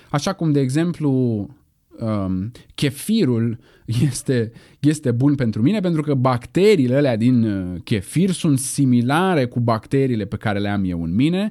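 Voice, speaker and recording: A man's dark, mellow, medium-pitched voice, fairly slow, with very wide pitch swings, in a very clean recording with a silent background. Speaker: philosophy podcast host. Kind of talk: solo educational lecture. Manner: casual, conversational with fillers.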